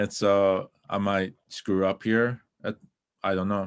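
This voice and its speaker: A man with an Alberta accent speaks with a very deep, low pitch. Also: very clean recording, silent background. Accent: non-native English, Stoney Nakoda. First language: Stoney Nakoda. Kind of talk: presentation. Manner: halting.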